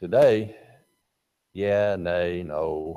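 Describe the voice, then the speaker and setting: A man with an Alabama accent speaks in a dark, mellow tone at a fairly low pitch. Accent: Southern US (Alabama). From US South, North Alabama. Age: 70s. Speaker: Bible class teacher. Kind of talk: Bible class lecture.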